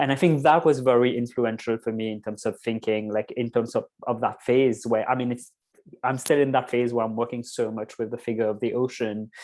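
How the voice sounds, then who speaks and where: Using a medium pitch and fairly even intonation, a man talks at a fairly quick pace. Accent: Mauritian. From Mauritius. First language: Mauritian Creole. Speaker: poet and performer. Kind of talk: panel discussion. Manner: halting.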